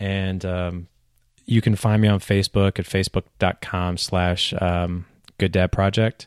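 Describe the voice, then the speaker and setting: A man speaks with a very deep, low pitch and monotone, flat intonation. The recording is very clean, with a silent background. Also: fairly slow pace. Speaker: podcaster and dad. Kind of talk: casual interview chat.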